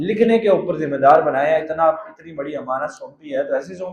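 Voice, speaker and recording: A man is speaking. There is ordinary variation in his pitch. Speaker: Islamic scholar giving a tafseer lecture. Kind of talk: religious lecture (Quran tafseer sermon in Urdu).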